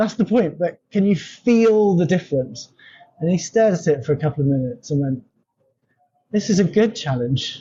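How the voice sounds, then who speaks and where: The voice carries an English accent. Its pace is fairly quick. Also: man. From England. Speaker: company founder, language consultant. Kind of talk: interview conversation.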